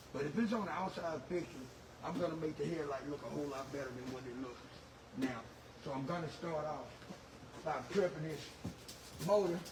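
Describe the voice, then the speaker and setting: A man's fairly high voice at a moderate pace with ordinary pitch variation, long, frequent pauses, noticeable background noise and audible room echo. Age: 60s. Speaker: automotive detailer. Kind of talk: tutorial. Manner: halting, with repeated words and fillers.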